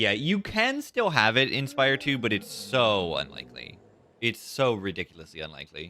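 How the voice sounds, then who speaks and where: A man at medium pitch, very wide pitch swings, vocal fry, bright, sharp tone and moderate pace. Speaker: gaming streamer. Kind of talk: live gameplay commentary. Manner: varies between quiet and loud; casual, halting.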